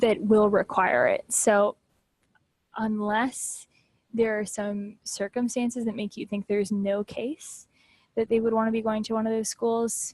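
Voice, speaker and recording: A woman with a fairly high pitch and a somewhat breathy voice speaks at a fairly slow pace in monotone, flat intonation. The sound is dry and close, with no echo. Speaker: test prep tutor. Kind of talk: training session for tutors.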